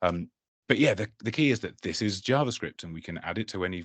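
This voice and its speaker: In a dry, close sound with no echo and a quiet background, a man with an English accent talks at a fairly quick pace. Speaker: tech conference speaker, developer experience lead. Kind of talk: technical presentation. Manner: hesitant, many fillers.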